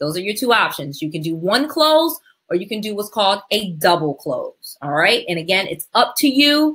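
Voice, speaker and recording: A woman with an American accent speaks at a medium pitch. Her tone is animated, with very wide pitch swings. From US Northeast, Connecticut. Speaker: real estate investing educator. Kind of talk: webinar presentation. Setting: online webinar. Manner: fast.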